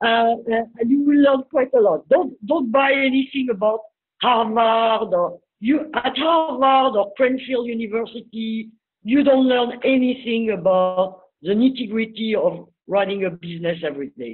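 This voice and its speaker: With a French accent, a woman speaks at a moderate pace in a fairly high pitch. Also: ordinary pitch variation. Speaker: business speaker. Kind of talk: webinar talk.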